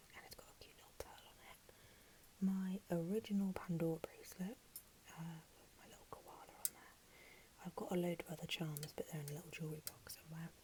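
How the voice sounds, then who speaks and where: Whispering at a fairly quick pace, a woman uses a gentle tone with big swings in loudness. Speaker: ASMR creator. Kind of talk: ASMR room tour ramble. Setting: lo-fi Apple mic recording. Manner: soft-spoken, gentle, whispery.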